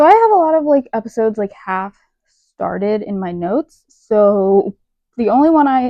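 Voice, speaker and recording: A woman talks with lively intonation. Her pitch sits fairly high. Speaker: podcast host. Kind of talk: casual chat. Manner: fast; animated.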